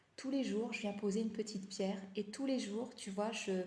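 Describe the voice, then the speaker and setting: Fairly high-pitched and somewhat breathy, a woman speaks at a fairly slow pace with a dark, mellow tone and fairly even intonation. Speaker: life coach. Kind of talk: live stream talk. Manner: halting, many fillers.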